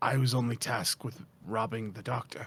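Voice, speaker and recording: A man's raspy, put-on character voice at medium pitch, with ordinary pitch variation and a moderate pace. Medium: actual play. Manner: terse, grudging.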